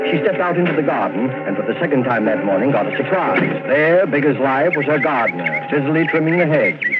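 With music in the background, a man speaks at a fairly quick pace and a fairly high pitch, using lively intonation and hardly any pauses. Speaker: radio announcer and narrator. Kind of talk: old-time radio drama narration, scripted and dramatic. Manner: formal, measured, suspenseful narrator delivery.

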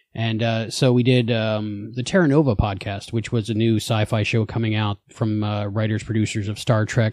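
A man talks at a medium pitch. He has a slight New Jersey accent. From New Jersey, then Florida. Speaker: podcast creator, fan. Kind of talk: casual interview chat.

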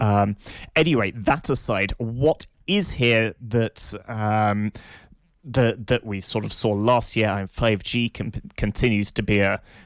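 In a plain, everyday voice, a man speaks at a fairly low pitch with fairly even intonation, the sound dry and close with no echo.

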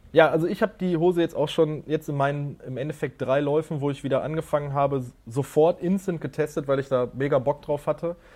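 A man's fairly high voice, dark and mellow in tone, with fairly even intonation. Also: fairly quick pace. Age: 30s. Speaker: podcast co-host. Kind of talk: casual chat. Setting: video call.

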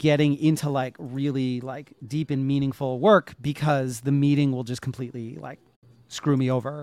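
Medium-pitched man with an American accent on a very clean recording with a silent background. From US Northeast. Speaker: JavaScript educator. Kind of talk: casual interview. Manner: blunt, not very animated; hesitant with many fillers.

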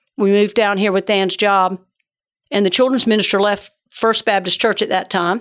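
A woman speaks at medium pitch with an American accent, at a moderate pace. Her intonation is monotone and flat, on a very clean recording with a silent background. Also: very even loudness. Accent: Southern US (Georgia), joked as northern. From Georgia. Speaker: church ministry director. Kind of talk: casual interview. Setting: studio.

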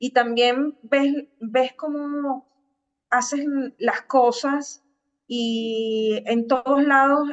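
High female tones with fairly even intonation. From Venezuela, Caracas. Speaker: digital marketing agency founder. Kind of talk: interview.

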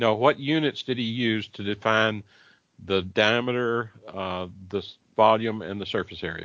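Heard at a fairly slow pace, a plain, everyday voice moves with ordinary pitch variation. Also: man, fairly low pitch for a man. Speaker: church elder and co-host. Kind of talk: live radio Bible discussion.

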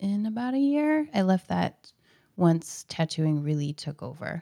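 A very slow delivery with an American accent and a dark, mellow tone, the sound dry and close with no echo on a very clean recording with a silent background. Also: woman. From Portland, Oregon (Southeast). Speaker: tattoo artist. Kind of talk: casual interview.

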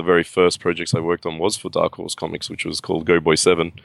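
A man with an Australian accent talks at a very fast pace in a very deep, low pitch with monotone, flat intonation. The sound is dry and close with no echo, over a quiet background. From Australia (Sydney). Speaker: comic book artist. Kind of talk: interview. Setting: video call.

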